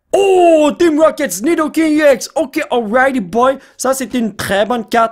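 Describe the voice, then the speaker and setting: The speaker has a Quebec accent. The tone is animated. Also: man. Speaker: YouTuber opening trading card packs. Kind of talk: casual card-opening commentary.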